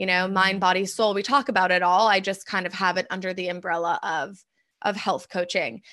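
A woman's bright, sharp voice at medium pitch moves at a fairly quick pace with ordinary pitch variation over a quiet background. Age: 20s. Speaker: holistic health coach. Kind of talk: casual chat. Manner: talkative.

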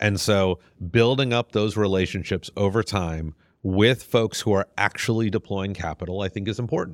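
An ordinary speaking voice, a man's fairly low one, moves at a moderate pace with ordinary pitch variation in a dry, close recording that is very clean with a silent background and no echo. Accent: American. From US South. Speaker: venture capitalist. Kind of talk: interview.

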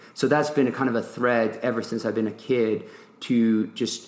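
A man with a medium-pitched voice. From France (Nantes), born in England. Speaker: ultrarunner and adventurer. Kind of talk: interview conversation. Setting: podcast interview. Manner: halting, many fillers.

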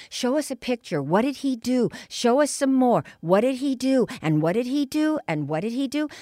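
In a very clean recording with a silent background, a woman with a dark, mellow tone makes very wide pitch swings. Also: dry, close sound with no echo. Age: 70s. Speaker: hypnotherapist. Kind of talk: interview. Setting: studio. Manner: animated.

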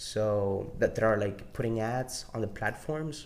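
A man with a Salvadoran accent talks very slowly at a medium pitch. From El Salvador. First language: Spanish. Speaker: podcast host. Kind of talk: solo casual monologue. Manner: casual, rambling with frequent swearing.

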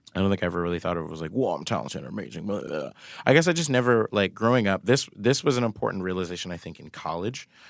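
Very fast speech from a man with fairly low pitch on a very clean recording with a silent background. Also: lively intonation, big swings in loudness. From Florida, Bradenton. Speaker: musician. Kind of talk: casual chat.

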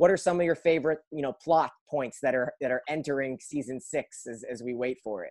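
With a plain, everyday voice, a man speaks at a fairly quick pace with hardly any pauses, a fairly high pitch, ordinary pitch variation, and a dry, close sound with no echo. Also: big swings in loudness. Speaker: podcast host. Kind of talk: casual interview.

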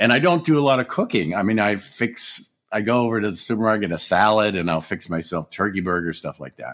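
In a very clean recording with a silent background, a man with an American accent and a fairly low pitch talks at a very fast pace with lively intonation and hardly any pauses. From Erie, Pennsylvania (US). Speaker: sitcom writer and actor. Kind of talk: casual interview chat.

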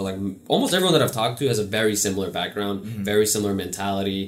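A man with an American accent talks very fast in a fairly low pitch. Audible room echo and noticeable background noise surround his voice. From New York City. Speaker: podcast host. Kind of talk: casual chat.

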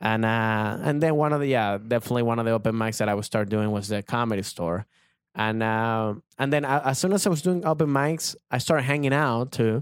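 A man with a Spanish accent speaks at a fairly quick pace in a medium pitch, with ordinary pitch variation and very even loudness. The recording is very clean, with a silent background. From Venezuela. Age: 30s. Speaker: comedian. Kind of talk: casual chat.

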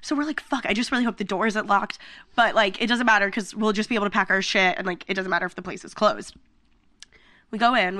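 With an American accent, a woman talks at a very fast pace in a bright, sharp tone with ordinary pitch variation, against a quiet background. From Pennsylvania, US. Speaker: podcast co-host. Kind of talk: casual chat.

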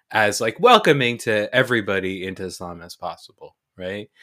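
In a very clean recording with a silent background, a man with an American accent speaks in a bright, sharp tone. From New Jersey, US, after early childhood abroad. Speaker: podcast guest, host's brother. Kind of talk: casual chat.

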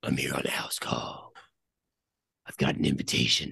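Someone whispers in a put-on character voice at a moderate pace. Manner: ridiculous.

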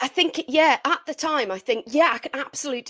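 A woman with an English accent and lively intonation, in a dry, close sound with no echo. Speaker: podcast co-host. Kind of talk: casual chat. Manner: low energy.

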